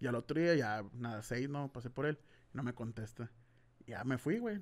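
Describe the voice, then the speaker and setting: A man speaks at a medium pitch. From Mexico, Hermosillo (Sonora); Sonora, Mexico. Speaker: YouTuber, podcast host. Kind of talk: casual chat. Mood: relaxed, joking. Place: studio. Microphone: studio mic.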